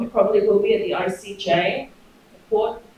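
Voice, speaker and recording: A woman speaks in a monotone with flat intonation. Her pace is moderate, and the room echo is audible. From Australia. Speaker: professor. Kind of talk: academic seminar discussion.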